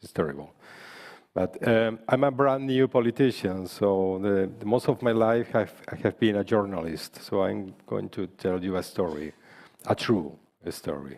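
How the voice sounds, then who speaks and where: A man speaks with a Spanish accent at a fairly low pitch. His intonation is lively and his pace moderate. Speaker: politician. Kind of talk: panel speech.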